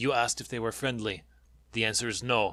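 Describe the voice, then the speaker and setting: A man puts on a raspy character voice at a medium pitch. The delivery is fairly quick and monotone, with flat intonation. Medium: read story. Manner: dry, terse.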